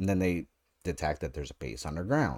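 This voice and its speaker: A man's very deep, low voice comes across a very clean recording, the background silent. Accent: American. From North America. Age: 30s. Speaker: podcast host, TV show reviewer. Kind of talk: solo review monologue. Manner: casual, filler-heavy with repetitions.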